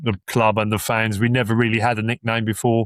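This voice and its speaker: A man with a Suffolk accent talks at a moderate pace in a flat monotone, recorded very cleanly against a silent background with a dry, close sound and no echo. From Suffolk, England (Ipswich). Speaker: football fan guest. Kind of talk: casual chat. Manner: halting.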